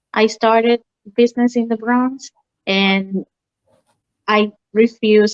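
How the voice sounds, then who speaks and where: Speaking in a Spanish accent, a woman uses a fairly high pitch and fairly even intonation, with a dry, close sound and no echo. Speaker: mortgage lender. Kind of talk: interview.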